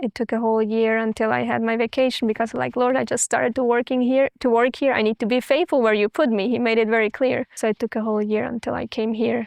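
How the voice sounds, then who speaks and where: Rushing at a very fast pace, the speaker has an Austrian accent and fairly even intonation. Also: woman, fairly high pitch for a woman, hardly any pauses, dry, close sound with no echo. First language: German. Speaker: missionary. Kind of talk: interview testimony.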